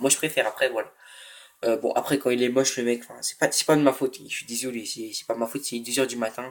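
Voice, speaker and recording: A man speaks very fast at a medium pitch, his intonation monotone and flat. His loudness swings widely. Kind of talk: casual, conversational.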